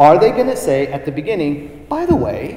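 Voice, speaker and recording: A man with an American accent speaks at a fairly high pitch, his voice swinging very widely up and down. There is audible room echo and noticeable background noise. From Southern California. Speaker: professor. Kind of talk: lecture. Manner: animated.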